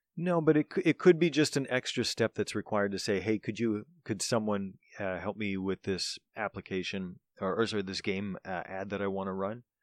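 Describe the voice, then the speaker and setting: In a dry, close recording with no echo, a man with an unremarkable speaking voice talks at a fairly quick pace, his fairly low pitch showing ordinary variation. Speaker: podcast co-host. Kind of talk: casual banter podcast chat. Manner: dry, joking.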